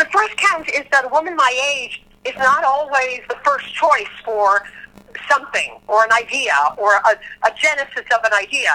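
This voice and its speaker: Raised and projected, the voice carries lively intonation at a moderate pace over noticeable background noise. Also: woman, high pitch for a woman. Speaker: Broadway ensemble performer. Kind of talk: casual interview chat.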